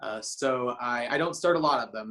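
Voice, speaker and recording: Speaking with an American accent, a man uses a medium pitch, ordinary pitch variation and a bright, sharp tone. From United States. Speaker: startup founder and adviser to social enterprises. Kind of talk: casual self-introduction. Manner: halting, repeats words.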